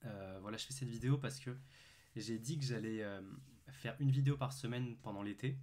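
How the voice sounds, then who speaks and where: At a medium pitch, a man with a dark, mellow tone talks fairly quickly and fairly evenly, though with long, frequent pauses. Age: 20s. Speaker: calisthenics youtuber and student. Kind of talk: casual facecam vlog. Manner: hesitant, many fillers.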